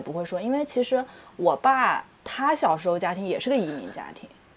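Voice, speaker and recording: With a strong Taiyuan accent, a woman talks at a fairly quick pace through very wide pitch swings. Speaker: podcast co-host. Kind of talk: casual chat.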